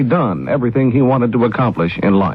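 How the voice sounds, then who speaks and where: Speaking at a very fast pace, a man talks with an American accent. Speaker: radio news anchor. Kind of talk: radio news bulletin read. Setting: 1970s radio broadcast recording.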